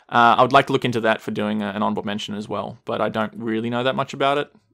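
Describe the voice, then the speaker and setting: This man's voice carries vocal fry. His pitch varies in an ordinary way. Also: very clean recording, silent background. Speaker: podcast co-host. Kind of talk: casual chat.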